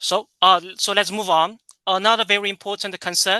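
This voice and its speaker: Speaking with a Chinese accent, a man uses a bright, sharp tone, fairly even intonation and a fairly slow pace, in a dry, close sound with no echo and a quiet background. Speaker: tourism professor. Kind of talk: lecture. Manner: halting, many fillers and repetitions.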